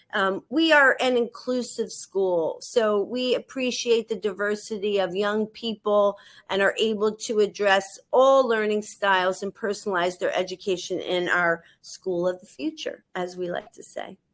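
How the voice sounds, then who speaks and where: With an American accent, a woman speaks in a normal speaking voice at a medium pitch and a fairly slow pace, with ordinary pitch variation and hardly any pauses. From United States. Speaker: head of school. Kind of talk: webinar interview.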